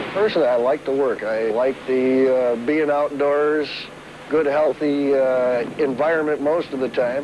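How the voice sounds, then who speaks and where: With an American accent and a fairly high pitch, a man speaks at a fairly slow pace and with fairly even intonation against noticeable background noise. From Michigan, Trenton. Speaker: ship watchman. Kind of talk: interview.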